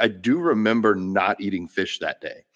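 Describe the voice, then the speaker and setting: A man's fairly low voice with an American accent, dry and close with no echo, over a quiet background. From Florida (Gainesville). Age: 30s. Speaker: podcast host, vegan bodybuilder. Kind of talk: casual chat.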